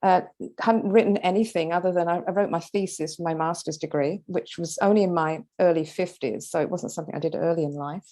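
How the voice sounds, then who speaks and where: The voice has a British accent and a dark, mellow tone. It moves at a fairly quick pace with ordinary pitch variation. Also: woman, fairly low pitch for a woman. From London, England. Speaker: author, retired occupational therapist. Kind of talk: interview. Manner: hesitant fillers.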